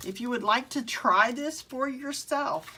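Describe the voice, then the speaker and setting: In a Southern US accent, the speaker uses a bright, sharp tone at a fairly slow pace. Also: woman. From Mississippi (US South). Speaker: craft tutorial host. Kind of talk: live craft tutorial. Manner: casual, with frequent um fillers.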